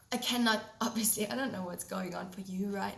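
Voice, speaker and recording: A woman with a German accent speaks at a medium pitch, with noticeable background noise and audible room echo. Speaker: podcast host, holistic health coach. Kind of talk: solo podcast talk.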